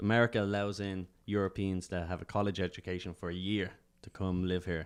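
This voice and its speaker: A man with an Irish accent talks at a fairly quick pace in a very deep, low voice. His intonation is monotone and flat, and the background is quiet. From Ireland, Dublin. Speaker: stand-up comedian. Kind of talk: casual chat.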